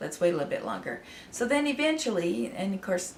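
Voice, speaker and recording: A woman speaks at a fairly quick pace amid noticeable background noise and audible room echo. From Idaho, US. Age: 60s. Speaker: artist and channel owner. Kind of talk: personal story to camera. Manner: halting, many fillers.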